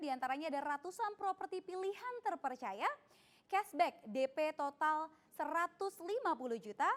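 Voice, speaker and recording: In a dry, close sound with no echo, a woman speaks at a fairly quick pace with lively intonation amid noticeable background noise. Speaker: event emcee. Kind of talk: press conference hosting. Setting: online press conference streamed live. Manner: fast; animated.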